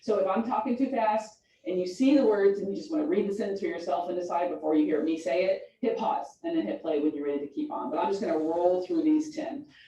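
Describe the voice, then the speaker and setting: Speaking at a very fast pace with hardly any pauses, a woman at medium pitch makes very wide pitch swings amid audible room echo. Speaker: high school English teacher. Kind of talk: lecture.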